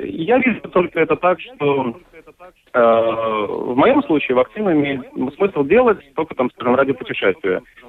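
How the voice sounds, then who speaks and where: A man talks at a fairly slow pace with a fairly high pitch. His pitch swings very widely while his loudness stays very even. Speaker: marketing specialist and musician. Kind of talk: radio interview. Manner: halting.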